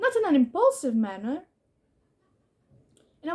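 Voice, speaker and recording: A woman speaks with a non-native accent. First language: not English. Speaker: YouTuber. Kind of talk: casual monologue. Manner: halting.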